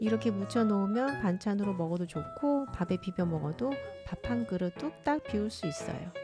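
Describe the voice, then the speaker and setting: Music plays in the background as a woman with a fairly low voice speaks at a moderate pace. Her tone is calm and gentle, with very wide pitch swings. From South Korea. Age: 40s. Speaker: homemaker. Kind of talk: vlog voice-over narration. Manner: calm, gentle.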